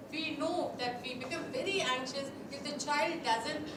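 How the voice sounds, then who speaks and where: Audible room echo and noticeable background noise surround a woman who speaks at a fairly slow pace with a high pitch and ordinary pitch variation. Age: 60s. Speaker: psychology speaker. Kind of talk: lecture.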